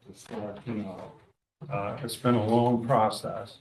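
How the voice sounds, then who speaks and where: Audible room echo surrounds a man as he speaks. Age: 80s+. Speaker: architect presenting an application. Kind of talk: public hearing presentation. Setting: town commission meeting room.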